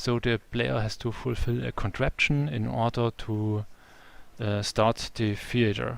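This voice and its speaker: A man with a German accent and medium pitch talks at a fairly slow pace, using ordinary pitch variation. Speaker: game developer. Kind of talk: live stream tutorial. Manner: halting.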